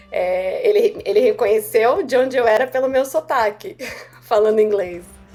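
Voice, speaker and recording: Over music in the background, a woman talks in a high voice with very wide pitch swings. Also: moderate pace, very even loudness. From Brazil. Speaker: software developer. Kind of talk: casual interview.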